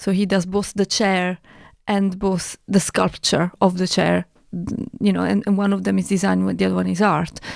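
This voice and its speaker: A woman speaks with an Italian accent at a moderate pace and very even loudness. The recording is very clean, with a silent background. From Italy. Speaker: artist and broadcaster. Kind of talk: casual chat.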